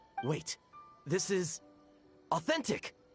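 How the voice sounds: A man's high, husky put-on character voice with a rough edge, slow and full of big pitch swings, faint music in the background.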